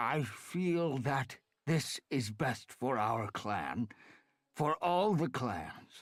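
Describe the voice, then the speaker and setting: Putting on a character voice, a man of medium pitch speaks at a very slow pace with lively intonation. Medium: read story. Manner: quiet, heavy with resignation.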